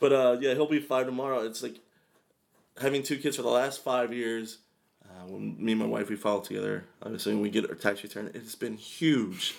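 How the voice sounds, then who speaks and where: A man speaks at a fairly quick pace and a medium pitch, in a plain, everyday voice. His pitch varies in an ordinary way while his loudness swings widely. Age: 20s. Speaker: comedian and college student. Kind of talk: casual chat. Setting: studio.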